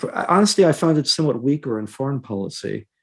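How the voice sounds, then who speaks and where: At a fairly quick pace, a man speaks with ordinary pitch variation in an unremarkable speaking voice. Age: 60s. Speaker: professor and historian. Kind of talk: panel discussion.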